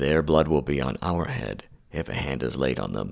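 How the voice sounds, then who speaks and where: A man speaks at a moderate pace in a very deep, low voice. Vocal fry runs through his speech. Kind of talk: scripture reading for sleep. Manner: soft-spoken.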